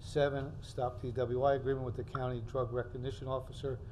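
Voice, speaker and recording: A man speaks at a moderate pace with light background noise. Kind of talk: reading meeting agenda. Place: hall. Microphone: podium.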